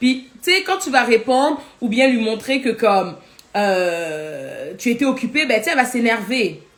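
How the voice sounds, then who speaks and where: A woman's voice, high in pitch. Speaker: life coach. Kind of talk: live teaching. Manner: fast.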